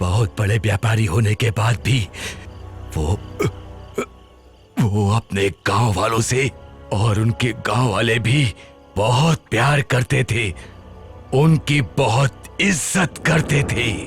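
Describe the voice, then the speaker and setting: With clear music in the background, a man does a put-on character voice at a medium pitch, very slow pace, and very even loudness, using lively intonation and long, frequent pauses. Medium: fan dub. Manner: grave, ominous.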